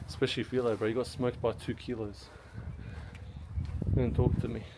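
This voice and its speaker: A man with a medium pitch over noticeable background noise. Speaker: travel vlogger. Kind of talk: travel vlog narration. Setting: outdoors, walking around a monastery. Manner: casual, chatty.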